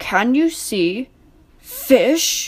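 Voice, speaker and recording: A woman puts on a character voice. It is high in pitch and growling. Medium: read story. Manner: authoritative yet good-humoured.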